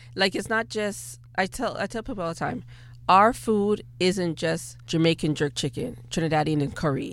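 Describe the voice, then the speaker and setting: A woman speaks at a moderate pace with a slight Bajan accent. The recording is very clean, with a silent background. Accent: slight Caribbean (Bajan) accent comes out. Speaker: personal chef and caterer. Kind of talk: radio interview. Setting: radio studio.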